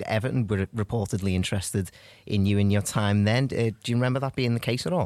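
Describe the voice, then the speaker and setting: A man's pitch shifts in an ordinary way. He talks very fast. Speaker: football podcast host. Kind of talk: podcast interview.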